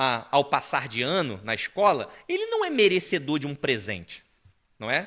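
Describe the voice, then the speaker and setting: A man's fairly high voice carries a bright, sharp tone and very wide pitch swings. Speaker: preacher. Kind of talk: sermon.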